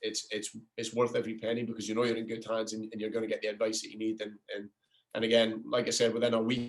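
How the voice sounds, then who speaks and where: Speaking very fast, a man with an American accent keeps his intonation monotone and flat. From Scotland. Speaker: soccer coach. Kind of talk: interview. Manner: halting, many repetitions.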